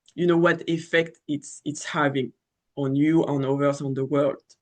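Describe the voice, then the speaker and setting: The speaker has a French accent. The background is quiet. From France. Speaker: astrologer. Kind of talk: casual monologue. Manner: halting, many fillers.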